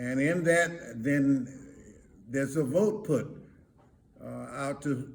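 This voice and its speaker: A man's somewhat breathy, fairly high voice, ordinary pitch variation, very slow pace. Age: 80s+. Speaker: reverend. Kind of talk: elder's words of advice to camera. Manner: slow, hesitant.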